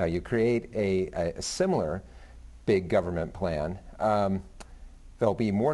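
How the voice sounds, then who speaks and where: A man talks at a fairly slow pace. His pitch shows ordinary variation. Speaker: business reporter. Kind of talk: TV panel discussion. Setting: TV studio. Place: studio. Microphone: lapel.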